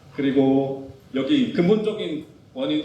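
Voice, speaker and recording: A man's pitch swings very widely, and audible room echo surrounds his voice. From South Korea. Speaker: physical therapist. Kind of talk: lecture. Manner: fast.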